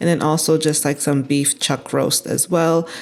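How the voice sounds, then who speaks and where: A woman with an American accent talks at a moderate pace in an ordinary speaking voice, fairly low in pitch with ordinary pitch variation. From Cameroon. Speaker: cooking channel host. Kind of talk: cooking tutorial voiceover. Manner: casual.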